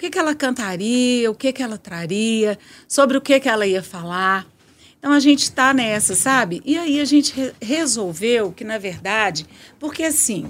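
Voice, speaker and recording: Over a silent background in a very clean recording, a woman speaks at a moderate pace. Her fairly high pitch carries lively intonation. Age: 60s. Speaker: singing teacher and carnival bloc founder. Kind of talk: radio interview.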